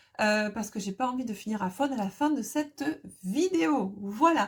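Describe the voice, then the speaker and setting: A woman's somewhat breathy voice. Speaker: tarot card reader. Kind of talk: tarot reading video. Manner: casual, hesitant.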